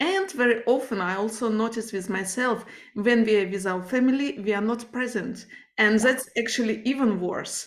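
Speaking at a fairly quick pace with a non-native accent, a woman has a fairly high pitch. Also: ordinary pitch variation. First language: not English. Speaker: podcast host. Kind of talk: interview conversation.

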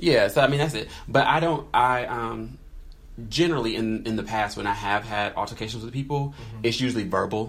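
At a fairly quick pace, a man talks with medium pitch, ordinary pitch variation and vocal fry. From North Carolina. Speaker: podcast co-host. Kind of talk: casual chat.

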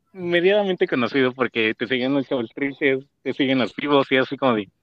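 Here a man talks at a fairly quick pace in an ordinary speaking voice. His fairly high pitch rides on lively intonation. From Mexico, Mexico City. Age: 20s. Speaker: podcast co-host. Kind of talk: casual chat.

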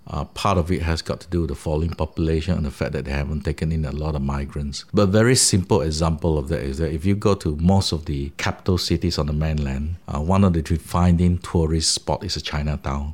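This man's very deep, low voice moves at a fairly quick pace with hardly any pauses and ordinary pitch variation. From Malaysia, Sarawak (Kuching). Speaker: professor. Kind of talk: interview. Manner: frequent hesitations (uh).

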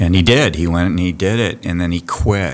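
A man speaks with a very deep, low voice. He has a Californian accent. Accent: Californian American. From US West Coast (Santa Barbara, California). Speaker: diving school program director. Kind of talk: casual chat. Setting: on location at a college diving building.

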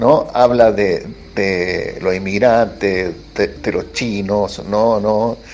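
A man speaks with a Chilean accent. His pace is very slow. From Chile, Valparaíso. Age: 50s. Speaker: writer and essayist. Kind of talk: interview. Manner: halting, many fillers and repetitions.

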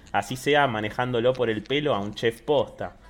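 A man's fairly slow speech over music in the background. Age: 20s. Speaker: podcast co-host. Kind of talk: casual chat.

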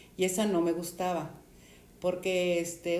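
With a Mexican accent, a woman speaks at a fairly slow pace over noticeable background noise. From Mexico. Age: 70s. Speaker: storyteller sharing life anecdotes. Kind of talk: interview. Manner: halting.

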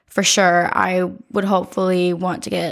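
In an American accent, a woman speaks at a fairly slow pace and medium pitch on a very clean recording with a silent background. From US Midwest, Ohio. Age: young. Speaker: college student. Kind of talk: casual chat.

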